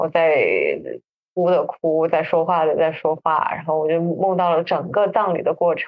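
In a fairly low pitch, a woman speaks at a moderate pace with monotone, flat intonation. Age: 30s. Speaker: podcast co-host. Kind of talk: casual chat. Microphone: backup recording, poor sound quality.

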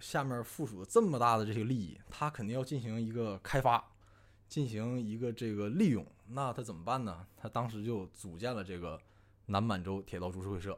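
A man speaks in a normal speaking voice at a medium pitch, with ordinary pitch variation and a moderate pace, on a very clean recording with a silent background. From Northeast China. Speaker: amateur history enthusiast. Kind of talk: casual chat.

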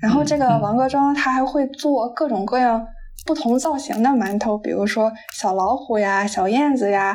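Her pitch high and ordinarily varied, a woman speaks at a moderate pace with very even loudness. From Qingdao, Shandong, China. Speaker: podcast host (guest on another show). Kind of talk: casual chat. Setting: remote call.

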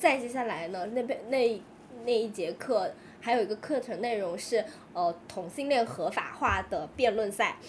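A woman with a fairly high voice talks fairly slowly, her pitch varying in an ordinary way, while noticeable background noise carries on. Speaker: podcast co-host. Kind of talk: casual chat.

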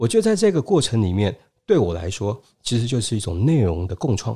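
A man speaks at a very fast pace in a dark, mellow tone, somewhat breathy. The recording is very clean with a silent background. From Taiwan. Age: 50s. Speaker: business school lecturer and consultant. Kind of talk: interview.

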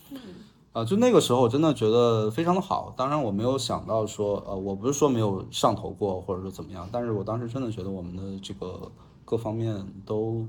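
Speaking fairly quickly, a man with a medium pitch and ordinary pitch variation makes big swings in loudness. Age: 30s. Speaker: podcast guest. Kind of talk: casual chat. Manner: halting.

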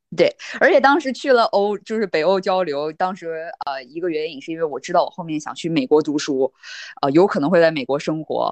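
Speaking at a fairly quick pace with fairly low pitch, a woman makes big swings in loudness, and the sound is dry and close with no echo. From Northeast China. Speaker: data scientist. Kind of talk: casual interview chat.

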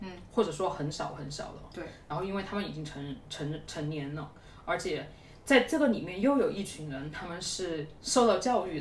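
Over noticeable background noise and audible room echo, a woman with a fairly low pitch speaks with lively intonation and big swings in loudness. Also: moderate pace. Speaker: user research team lead, former PhD student. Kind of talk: casual chat. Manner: animated.

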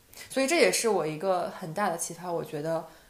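A woman talks at a moderate pace, with noticeable background noise and audible room echo. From Northeast China. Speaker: podcast co-host. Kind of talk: casual chat.

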